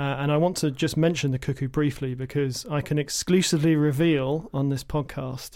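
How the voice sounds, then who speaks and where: With an English accent, a man with a fairly high pitch speaks at a moderate pace in a monotone, flat intonation on a very clean recording with a silent background. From England. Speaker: environmental educator and birder. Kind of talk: casual chat. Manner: halting.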